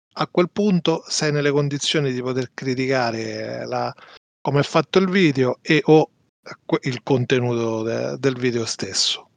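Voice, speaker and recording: A man with a normal speaking voice talks at a fairly slow pace, with medium pitch and ordinary pitch variation. The sound is dry and close, with no echo. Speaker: podcast co-host. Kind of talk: casual chat.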